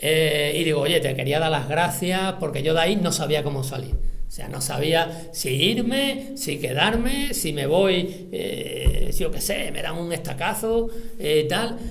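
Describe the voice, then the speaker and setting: Amid noticeable background noise and audible room echo, a man with a high voice talks at a fairly slow pace with lively intonation. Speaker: military veteran and writer giving a talk. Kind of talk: lecture with personal anecdotes. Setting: library auditorium with audience. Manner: casual, halting with fillers.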